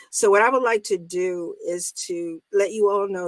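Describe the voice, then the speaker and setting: The sound is dry and close with no echo as a woman speaks at medium pitch with ordinary pitch variation. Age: 60s. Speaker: talk show host. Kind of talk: casual chat. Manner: animated.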